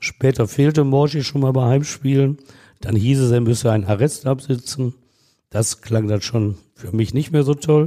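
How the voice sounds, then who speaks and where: Very clean recording, silent background, and a man with a dark, mellow tone at medium pitch. He moves at a moderate pace with ordinary pitch variation. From Essen, Ruhr area, Germany. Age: 60s. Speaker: court reporter. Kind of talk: storytelling.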